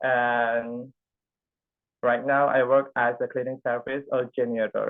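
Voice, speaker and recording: With an Indonesian accent, a man speaks at a very slow pace in a monotone, flat intonation. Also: medium pitch for a man. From Indonesia, Bangka Belitung. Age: 20s. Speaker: speech workshop participant. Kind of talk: prepared speech. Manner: halting.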